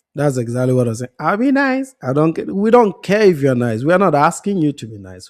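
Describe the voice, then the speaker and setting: With an African accent, a man speaks at a fairly quick pace and a fairly high pitch, swinging his pitch very widely. The recording is very clean, with a silent background. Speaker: panelist. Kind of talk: heated debate.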